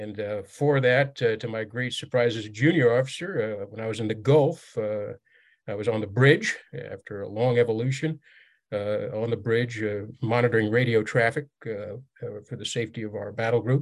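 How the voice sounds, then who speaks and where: At a moderate pace and medium pitch, a man with an unremarkable speaking voice talks with big swings in loudness. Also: ordinary pitch variation, quiet background. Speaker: military veteran and author. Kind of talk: casual interview chat.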